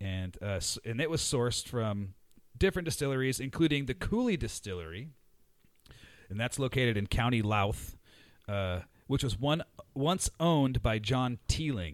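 At a moderate pace, a man with a medium pitch talks in an animated tone with lively intonation and long, frequent pauses. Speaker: podcast host. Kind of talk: casual banter podcast. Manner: animated, joking.

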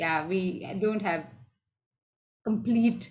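The delivery is very slow. It comes from a woman. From southern India. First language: Tamil and Malayalam. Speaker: improv performer and teacher. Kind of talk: casual interview. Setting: video call.

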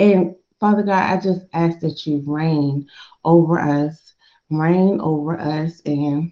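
A woman's very deep, low voice carries a warm tone that is also dark and mellow. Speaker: career coach leading prayer call. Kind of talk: prayer call with devotional message and fervent prayer. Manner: fervent, animated, preacher-like; warm, encouraging, direct address.

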